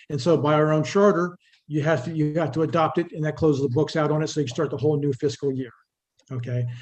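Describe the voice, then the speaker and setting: A man talks at a very fast pace in a fairly high pitch, somewhat breathy, with fairly even intonation. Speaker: town official presenting finances. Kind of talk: public meeting presentation.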